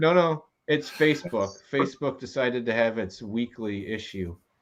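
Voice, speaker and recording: This man has a plain, everyday voice and lively intonation. He talks at a fairly slow pace against a quiet background. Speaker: whiskey show host. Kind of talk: casual live stream hosting. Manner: upbeat, jokey.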